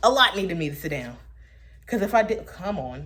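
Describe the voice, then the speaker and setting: There is audible room echo around a woman talking. She goes at a fairly quick pace, and her pitch swings very widely. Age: 20s. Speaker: vlogger. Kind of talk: casual monologue. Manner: animated.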